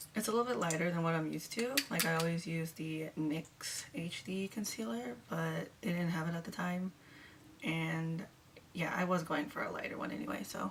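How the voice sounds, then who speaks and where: Quiet and fairly low-pitched, a woman speaks at a moderate pace with lively intonation over noticeable background noise. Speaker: beauty vlogger. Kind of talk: makeup tutorial.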